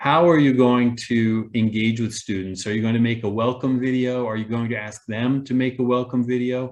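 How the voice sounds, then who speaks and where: At a moderate pace, a man of medium pitch talks in an ordinary speaking voice. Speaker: online learning presenter. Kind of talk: webinar presentation.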